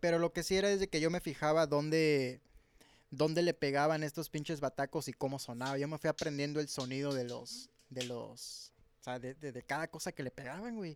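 A man's fairly high-pitched, plain, everyday voice at a fairly quick pace, with ordinary pitch variation, in a dry, close sound with no echo on a very clean recording against a silent background. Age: 20s. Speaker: drummer in a band. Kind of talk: casual chat.

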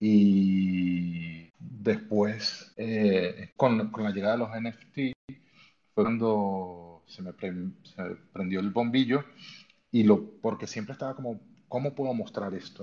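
A man speaks very slowly in a fairly low, dark, mellow voice. His loudness swings widely. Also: ordinary pitch variation. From Venezuela. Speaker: photographer. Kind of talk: interview on live audio space. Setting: online audio room. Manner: halting.

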